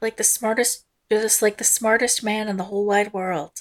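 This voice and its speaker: A woman's put-on character voice, fairly high and sing-song, at a fairly quick pace. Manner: lilting, sing-song.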